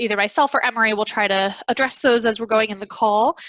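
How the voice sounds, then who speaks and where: A woman with a fairly high pitch speaks with fairly even intonation. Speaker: webinar platform trainer. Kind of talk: training tutorial. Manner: fast.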